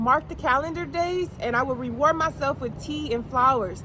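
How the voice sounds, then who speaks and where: A woman with a high pitch talks at a moderate speed while noticeable noise sounds in the background. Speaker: motivational speaker. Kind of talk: motivational pep talk to camera. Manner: encouraging.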